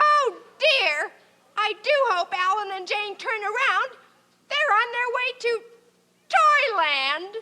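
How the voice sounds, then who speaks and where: A cartoonish character voice, female-sounding and extremely high in pitch, at a fairly slow pace with long, frequent pauses. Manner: tart, scheming.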